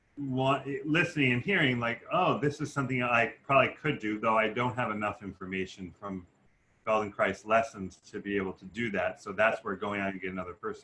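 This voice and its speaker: A man's medium-pitched voice shows ordinary pitch variation as he talks fairly quickly. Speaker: course student, former dancer. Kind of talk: Q&A question.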